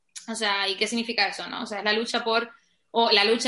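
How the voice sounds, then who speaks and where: A woman with a Canarian accent, fairly high-pitched, bright and sharp in tone, at a fairly quick pace. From Canary Islands, Spain. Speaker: podcast guest discussing feminism. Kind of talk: casual conversation.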